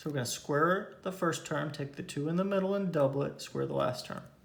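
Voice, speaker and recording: In a room with audible echo, a man speaks in a fairly high, somewhat breathy voice. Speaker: math teacher. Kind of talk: lecture.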